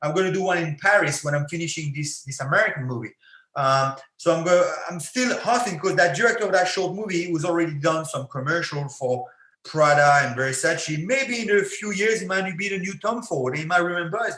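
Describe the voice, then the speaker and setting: A man speaks with a high pitch and lively intonation. His tone is bright and sharp. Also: fairly quick pace. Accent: French. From France. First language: French. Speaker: actor and former MMA fighter. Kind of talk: podcast interview.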